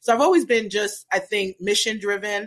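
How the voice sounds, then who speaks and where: With an American accent, a woman talks at a fairly quick pace in an ordinary speaking voice, her intonation fairly even. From Brooklyn, New York. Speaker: cannabis business strategist. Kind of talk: interview.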